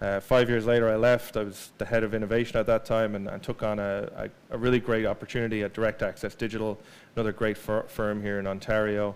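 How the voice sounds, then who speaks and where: With an Irish accent, a man rushes at a very fast pace with hardly any pauses, his fairly low voice monotone and flat. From Ireland. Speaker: digital marketing speaker. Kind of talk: presentation. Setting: stage with audience. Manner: halting, many fillers and repeats.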